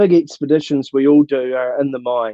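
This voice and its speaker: A man with a New Zealand accent and a fairly high pitch. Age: 60s. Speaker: mountaineer and motivational speaker. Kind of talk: Q and A. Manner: halting.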